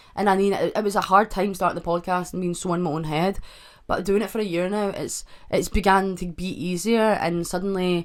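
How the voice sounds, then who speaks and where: A woman with a Scottish accent speaks at a fairly quick pace and medium pitch. Her intonation is monotone and flat. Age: 20s. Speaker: podcast host. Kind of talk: casual chat. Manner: stutters often.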